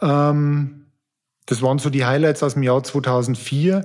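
Fairly even intonation in a man's voice that sits fairly high. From Upper Palatinate, Bavaria (Amberg). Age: 40s. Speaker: banking executive and former endurance athlete. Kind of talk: interview.

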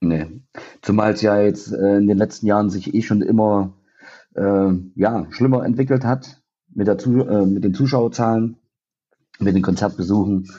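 Pausing long and often, a man talks at a moderate pace with fairly low pitch and ordinary pitch variation. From Thuringia, eastern Germany (near Jena). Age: 30s. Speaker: rock band musician. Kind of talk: casual chat.

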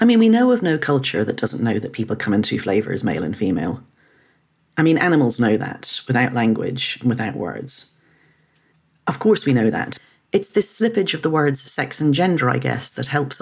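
This woman's very deep, low voice carries vocal fry and swings very widely in pitch. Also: moderate pace. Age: 50s. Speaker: journalist and author. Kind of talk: interview.

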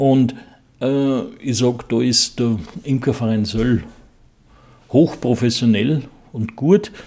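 Very slowly and with long, frequent pauses, a man speaks in a dark, mellow tone at a medium pitch. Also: ordinary pitch variation. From Bohemian Forest. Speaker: beekeeper. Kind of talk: interview.

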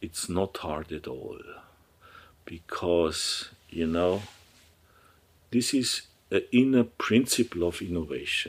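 On a very clean recording with a silent background, a man with a German accent speaks at a very slow pace, taking long, frequent pauses. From Germany, Upper Bavaria. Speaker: surgeon, professor and entrepreneur. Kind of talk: interview. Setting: office. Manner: halting.

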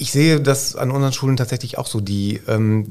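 At a fairly quick pace, a man speaks in a somewhat breathy voice with ordinary pitch variation. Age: 50s. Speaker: school principal. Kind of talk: casual chat.

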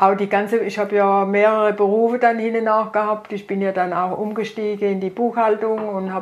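At a fairly quick pace and with hardly any pauses, a woman of medium pitch speaks in a flat monotone. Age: 80s+. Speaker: retired grandmother. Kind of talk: casual family conversation.

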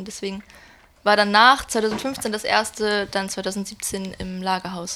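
This is a woman speaking with a fairly high pitch. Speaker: concertgoer, music fan. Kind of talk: casual chat. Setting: at home in a shared flat. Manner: soft-spoken.

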